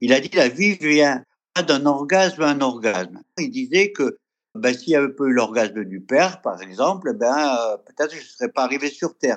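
His pitch is fairly high for a man. It swings very widely from moment to moment. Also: moderate pace, quiet background. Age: 70s. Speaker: workshop facilitator. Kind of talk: interview.

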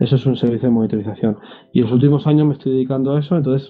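This man has a medium-pitched voice. The pitch rises and falls in an ordinary way. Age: 30s. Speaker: system administrator and blogger. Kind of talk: interview.

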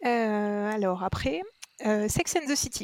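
A woman with a plain, everyday voice, fairly high in pitch with lively intonation at a fairly slow pace, in a dry, close sound with no echo. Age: 30s. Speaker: podcast listener. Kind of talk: casual chat.

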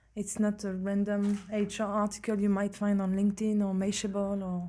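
At a moderate pace, a somewhat breathy voice with a dark, mellow tone comes through on a very clean recording with a silent background. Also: woman. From France and Belgium. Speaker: HR professional, volunteer communications co-director. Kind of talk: interview. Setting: hotel, in front of the mic.

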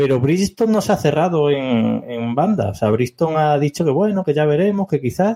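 A man talks at a moderate pace with hardly any pauses, his pitch fairly high. It is an unremarkable speaking voice. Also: lively intonation. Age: 30s. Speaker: podcast co-host. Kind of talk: casual chat.

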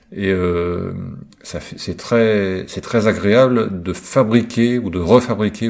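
This is a man with a fairly low pitch. His pitch variation is ordinary. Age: 50s. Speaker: listener contributor sharing a personal testimony. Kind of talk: recorded monologue testimony. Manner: halting, many hesitations.

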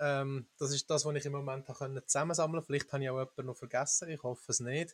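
With a Swiss accent, the voice sounds somewhat breathy and monotone, flat in intonation, in a dry, close recording with no echo. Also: man. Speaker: bitcoin meetup organizer. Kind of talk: casual panel discussion.

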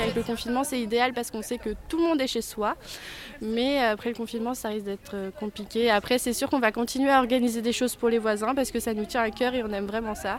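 A woman's fairly high voice at a very fast pace, with fairly even intonation and noticeable background noise. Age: 20s. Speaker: student, neighbourhood quiz organiser. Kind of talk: interview.

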